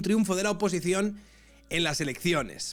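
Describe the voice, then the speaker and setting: At a fairly quick pace, a man with a Castilian accent speaks in a high voice with ordinary pitch variation. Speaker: political commentator streamer. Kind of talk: live stream reaction commentary. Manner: conversational, reading aloud with asides.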